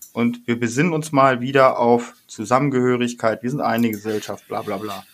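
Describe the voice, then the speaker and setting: At a moderate pace and with hardly any pauses, a normal speaking voice carries fairly even intonation. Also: man, medium pitch for a man. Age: 40s. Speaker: podcast co-host. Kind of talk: casual chat.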